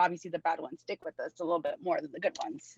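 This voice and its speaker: A woman at a medium pitch speaks with a dry, close sound with no echo against a quiet background. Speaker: theme park employee. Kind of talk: interview. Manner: loud; casual, many fillers.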